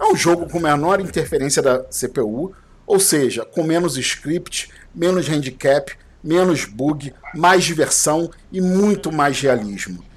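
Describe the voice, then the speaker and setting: A man's fairly high voice, with ordinary pitch variation, moves along at a very slow pace. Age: 40s. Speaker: podcast host. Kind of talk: casual chat.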